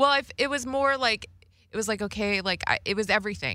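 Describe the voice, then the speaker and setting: With an American accent, a woman speaks in a bright, sharp tone. The recording is very clean, with a silent background. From Las Vegas, Nevada. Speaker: comedian. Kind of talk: casual chat. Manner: halting, many fillers.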